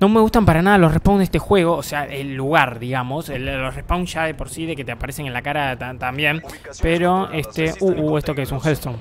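At a fairly quick pace, a man talks with a fairly high pitch and ordinary pitch variation amid noticeable background noise. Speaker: gaming youtuber. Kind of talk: gameplay commentary. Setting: home bedroom. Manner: animated.

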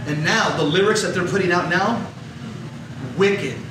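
A man with an American accent speaks at high pitch with ordinary pitch variation. Audible room echo and noticeable background noise are present. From Los Angeles area, US. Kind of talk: talk. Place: hall.

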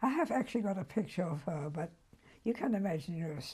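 Somewhat breathy and fairly low-pitched, the woman's voice has a dark, mellow tone. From Germany. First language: German. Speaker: Holocaust survivor. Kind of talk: interview answer.

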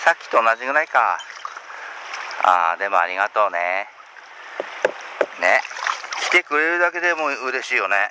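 Against noticeable background noise, a man speaks at a fairly slow pace with long, frequent pauses, in a dry sound with no echo. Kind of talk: muttered commentary to himself and the fish. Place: waterside. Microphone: phone near.

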